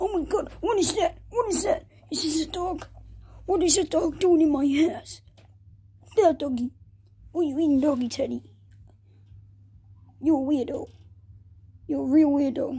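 In a high-pitched cartoonish character voice, the speaker moves at a moderate pace with long, frequent pauses. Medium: puppet show. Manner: excitable, scolding then doting.

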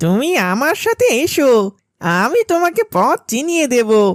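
A cartoonish character voice from a man, pitched extremely high, swinging very widely in pitch at a very slow pace, with a dry, close sound and no echo. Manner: sly, self-satisfied.

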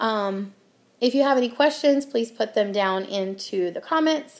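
A woman with an American accent talks at a fairly slow pace, her fairly high pitch showing ordinary variation. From US Midwest. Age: 30s. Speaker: channel host. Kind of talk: casual vlog monologue. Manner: casual with many filler ums. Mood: friendly, self-deprecating humor. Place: home room. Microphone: webcam.

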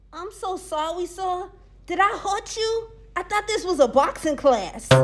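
Over music in the background, a woman with an extremely high pitch speaks at a fairly slow pace, with big swings in loudness. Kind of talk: comedic sketch dialogue. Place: gym. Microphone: phone near.

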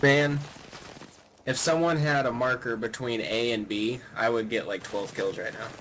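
Over noticeable background noise, a man with an American accent speaks at a moderate pace in a medium pitch with ordinary pitch variation. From Oklahoma. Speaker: gamer. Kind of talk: casual chat. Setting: voice chat.

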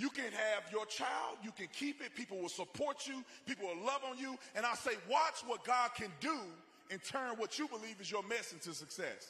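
An extremely high-pitched male voice, raised and projected, animated in tone with lively intonation, at a moderate pace over noticeable background noise. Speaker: speaker at a conservative rally. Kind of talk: rally speech with faith-based, preacher-like appeal to a live crowd. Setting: stage with live audience. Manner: animated, fervent, exhorting the crowd, repetitive for emphasis; conversational, personal, with humor and crowd banter.

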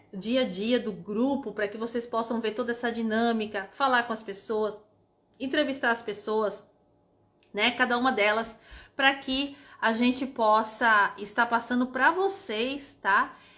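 A woman's bright, sharp voice, fairly high in pitch, with ordinary pitch variation and a fairly slow pace. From Brazil, São Paulo city. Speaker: tour guide. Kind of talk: casual livestream chat. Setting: livestream. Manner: animated. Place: home room. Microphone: phone near.

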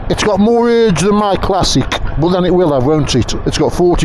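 Dry, echo-free sound of a man talking at a moderate pace, noticeable background noise underneath. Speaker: motorcycle reviewer. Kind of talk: casual ride commentary. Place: motorbike. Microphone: helmet.

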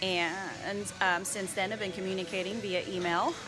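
A woman talks at a moderate pace, with clear music in the background. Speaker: fitness vlogger. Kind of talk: casual vlog chat. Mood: upbeat, excited. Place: gym. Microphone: phone near.

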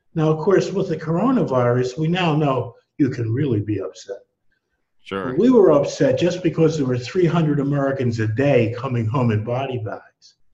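Against a quiet background, a man speaks in a dark, mellow, somewhat breathy tone with lively intonation. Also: moderate pace. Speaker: economics professor guest. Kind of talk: interview answer. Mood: reflective, somewhat indignant. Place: home room. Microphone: headset.

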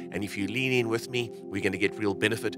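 The dry voice has no echo, with clear music playing in the background. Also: man. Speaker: church pastor. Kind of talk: service welcome address. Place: hall. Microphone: handheld.

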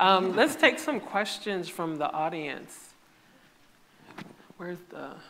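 A fairly bright tone and lively intonation come through with audible echo from the room. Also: woman.

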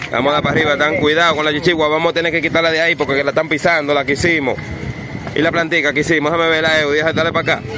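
A man with a Dominican accent speaks at a very fast pace in a fairly high pitch, his loudness very even. Noticeable background noise sits under a dry sound with no echo. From Dominican Republic. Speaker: kite-flying video creator. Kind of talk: live commentary. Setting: outdoors. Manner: animated.

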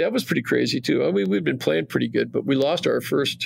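This is a man speaking with a Western Canadian accent. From Western Canada (Calgary, Alberta). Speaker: retired champion curler. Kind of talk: casual interview.

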